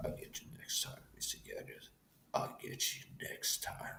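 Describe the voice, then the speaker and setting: A raspy male put-on character voice at a moderate pace. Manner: menacing, theatrical, gloating.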